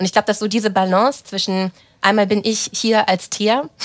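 A woman speaks at a fairly quick pace in a fairly high pitch. She has an ordinary speaking voice. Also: very clean recording, silent background. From Germany, German-Romanian family. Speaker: team lead. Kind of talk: casual interview.

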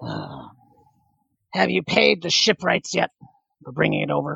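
A man speaks in a put-on character voice at a moderate pace. His tone is raspy and gruff. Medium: actual play. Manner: gruff, curt.

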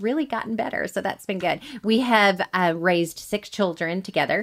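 A woman with a medium pitch talks at a moderate speed, varying her pitch in an ordinary way. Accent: Alabama. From US South, Alabama (Montgomery). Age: 40s. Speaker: military wife and adoptive mother. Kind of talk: interview.

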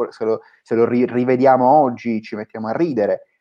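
A man talks at medium pitch. He has an ordinary speaking voice and keeps a moderate pace. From Sicily, Palermo. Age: 20s. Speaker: startup founder. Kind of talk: interview.

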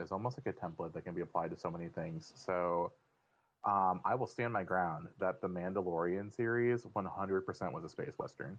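An ordinary speaking voice at a moderate pace. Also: man. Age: 30s. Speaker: writer. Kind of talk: casual chat.

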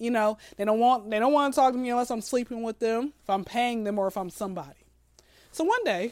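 Here is a woman with an American accent and a normal speaking voice. Her pitch is fairly high and her intonation lively. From Atlanta, US South. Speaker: comedian. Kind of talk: casual chat.

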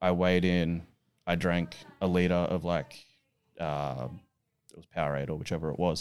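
A man with an Australian accent speaks at a very deep, low pitch and a moderate pace. His intonation is fairly even, broken by long, frequent pauses. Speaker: strongman athlete and coach. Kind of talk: casual chat. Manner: dry humour.

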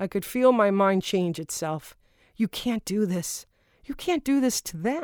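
A woman's ordinary speaking voice at a medium pitch, lively in intonation and fairly slow in pace, recorded dry and close with no echo, very clean, over a silent background. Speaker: audiobook author-narrator. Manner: intimate, somber and hushed in the suicide passages, with deliberate pauses; shifts to lighter, conversational tone in dialogue and joking moments.

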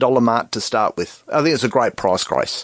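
A man is speaking. He has an Australian accent. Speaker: tech expert. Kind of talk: radio call-in chat. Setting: radio studio.

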